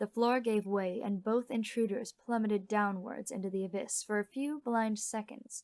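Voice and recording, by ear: Text is read aloud in a natural voice. Intonation is fairly even throughout.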